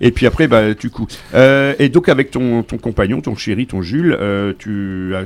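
A man with an ordinary speaking voice, medium in pitch, at a fairly slow pace with lively intonation. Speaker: radio host. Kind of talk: casual chat.

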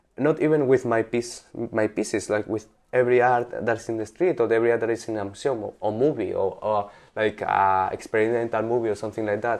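Over a quiet background, a man with a Spanish accent talks at a very fast pace. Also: medium pitch for a man, fairly even intonation. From Spain, Valencia. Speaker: artist. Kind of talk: interview. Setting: in the guest's apartment. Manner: halting.

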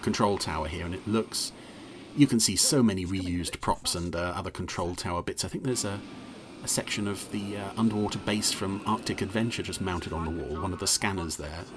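Talking at a fairly quick pace, a man uses ordinary pitch variation at a fairly low pitch. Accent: English. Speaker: podcast host reviewing TV episodes. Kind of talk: casual commentary. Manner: hesitant, full of fillers; animated.

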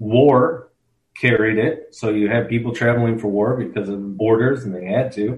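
This man has an ordinary speaking voice at a medium pitch. His intonation stays fairly even. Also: moderate pace. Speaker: history professor. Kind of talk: casual interview explaining history.

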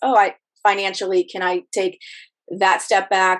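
A woman uses an unremarkable speaking voice at a medium pitch and a moderate pace. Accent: American. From Ohio, Rust Belt. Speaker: hair colorist and salon owner. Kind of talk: casual interview.

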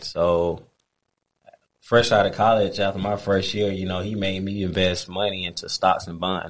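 A man's fairly low voice holds a monotone, flat intonation. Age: 30s. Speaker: football coach and trainer, retired pro player. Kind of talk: casual interview.

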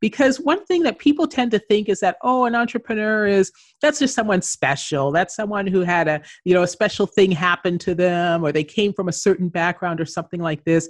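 With a Canadian accent and an unremarkable speaking voice, a woman of medium pitch talks at a fairly quick pace. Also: lively intonation. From Canada. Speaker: entrepreneur and author. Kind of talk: interview.

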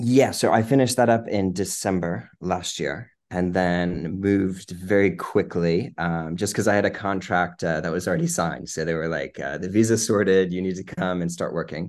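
Against a quiet background, a man with an American accent talks in a very deep, low pitch with ordinary pitch variation and hardly any pauses. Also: moderate pace. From Virginia, Lynchburg. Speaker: cancer researcher. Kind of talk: interview.

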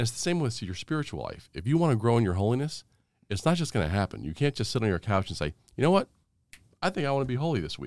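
Speaking at a very fast pace in an American accent, the voice makes very wide pitch swings in a very clean recording with a silent background. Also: man. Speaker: theology professor and former naval officer. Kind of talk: interview conversation.

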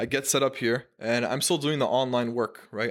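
A man with a normal speaking voice, medium in pitch, at a fairly quick pace with fairly even intonation, on a very clean recording with a silent background. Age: 20s. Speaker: marketing agency founder. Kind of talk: casual chat. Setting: studio.

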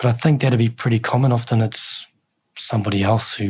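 Somewhat breathy speech with a New Zealand accent and fairly even intonation. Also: man. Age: 40s. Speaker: military chaplain. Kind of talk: interview testimony.

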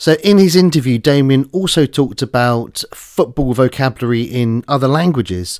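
A man with a British accent, medium pitch, lively intonation, moderate pace with hardly any pauses, very even loudness, and a dry, close sound with no echo. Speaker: podcast host. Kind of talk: educational podcast conversation.

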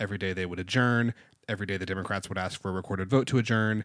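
A man with an American accent talks at a very fast pace, his pitch fairly low. His intonation is fairly even, against a quiet background. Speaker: podcast co-host. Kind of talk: casual political chat. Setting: studio.

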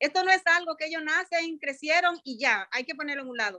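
Her voice raised and projected, a woman speaks in a bright, sharp tone with lively intonation at a moderate pace, in a dry, close sound with no echo. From Dominican Republic, Santo Domingo. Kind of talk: testimony.

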